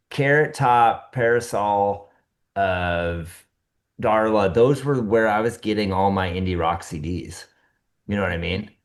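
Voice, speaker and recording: The speaker has a Midwestern US accent and a fairly slow pace, with ordinary pitch variation. The background is quiet. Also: man, fairly low pitch for a man. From small-town Iowa. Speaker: podcast co-host. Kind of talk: casual chat.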